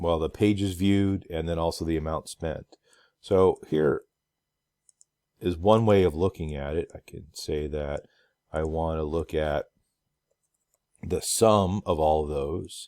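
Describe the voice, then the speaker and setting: Pausing long and often, a man speaks in a very deep, low pitch with a dark, mellow tone, the sound dry and close with no echo on a very clean recording with a silent background. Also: ordinary pitch variation. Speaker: instructor. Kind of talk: tutorial. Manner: hesitant, many fillers.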